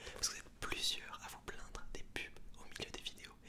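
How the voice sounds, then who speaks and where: Whispering in a relaxed tone at a moderate pace, a man is heard over noticeable background noise. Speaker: ASMR creator. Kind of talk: casual talk to camera. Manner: soft-spoken, relaxed, chatty.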